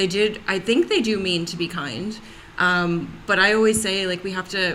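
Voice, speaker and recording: A woman talks with an American accent at medium pitch and a moderate pace. Her pitch varies in an ordinary way, and there is noticeable background noise. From United States. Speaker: panel guest on race discussion. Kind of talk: casual panel discussion.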